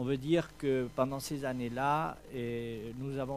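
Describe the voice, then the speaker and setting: A man with a Spanish accent speaks very slowly at a medium pitch. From Spain. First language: Spanish (speaking French). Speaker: event organizer. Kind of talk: press presentation speech. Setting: hotel press conference. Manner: halting, many hesitations.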